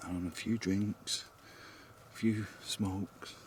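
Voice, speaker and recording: Whispering in a somewhat breathy voice, a man speaks with a British accent. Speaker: paranormal investigator vlogger. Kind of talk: vlog narration. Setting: outdoors.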